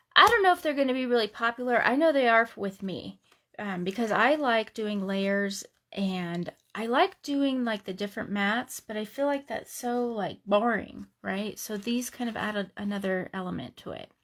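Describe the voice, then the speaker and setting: A woman's unremarkable speaking voice, fairly high in pitch, at a moderate pace, on a very clean recording with a silent background. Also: ordinary pitch variation. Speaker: craft demonstrator. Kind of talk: live craft tutorial. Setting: home craft room livestream. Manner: casual, chatty.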